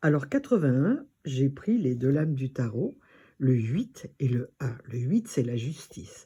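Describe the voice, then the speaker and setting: A woman with a very deep, low pitch and a dark, mellow, somewhat breathy tone talks at a very slow pace with very wide pitch swings. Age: 80s+. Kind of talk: personal talk to camera.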